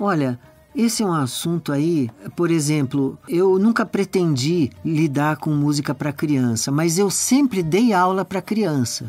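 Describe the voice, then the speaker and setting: Background music can be heard. Someone talks at a fairly slow pace over it. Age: 60s. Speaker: composer and musician. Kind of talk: podcast interview.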